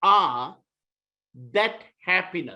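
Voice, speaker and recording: A man speaks at a very slow pace in a raised, projected voice. His tone is bright and sharp, with lively intonation. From Malaysia (Kuala Lumpur). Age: 60s. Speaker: author. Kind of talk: short inspirational talk.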